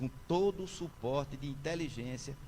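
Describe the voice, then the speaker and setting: Audible room echo surrounds the recording. A man speaks in a somewhat breathy voice. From Brazil, Pernambuco interior (sertão), born in Recife. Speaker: senior judge, honoree. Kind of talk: ceremonial acceptance speech. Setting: town council chamber, solemn session with audience. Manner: formal.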